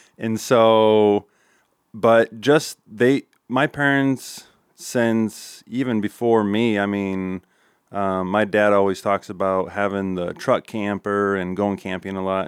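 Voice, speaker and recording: A man with a Midwestern US accent, fairly low in pitch, at a fairly slow pace with fairly even intonation, dry and close with no echo on a very clean recording with a silent background. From Nebraska. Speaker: custom framing and furniture business owner. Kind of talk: casual interview.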